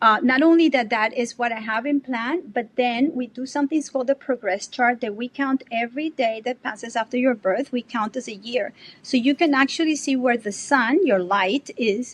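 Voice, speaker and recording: A high-pitched woman in a Spanish accent, with hardly any pauses and a dry, close sound with no echo. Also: ordinary pitch variation, moderate pace. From Colombia. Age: 60s. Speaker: artist and bitcoin advocate. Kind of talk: podcast interview. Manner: animated.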